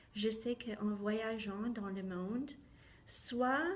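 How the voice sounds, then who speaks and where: A woman speaks at a very slow pace in a medium pitch, with audible echo from the room. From southwestern Ontario, Canada. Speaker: teacher. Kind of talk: personal testimony talk.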